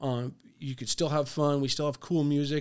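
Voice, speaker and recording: A monotone voice with flat intonation and an American accent, moving at a fairly quick pace. The recording is very clean, with a silent background. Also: man. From US West Coast, San Diego area. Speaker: bar owner. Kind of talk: interview. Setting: studio. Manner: halting, many fillers.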